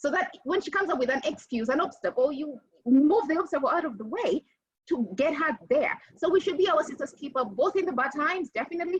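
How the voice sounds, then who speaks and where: A woman talks at a fairly quick pace in a high pitch. Her pitch swings very widely. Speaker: panelist. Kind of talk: panel discussion. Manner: fast.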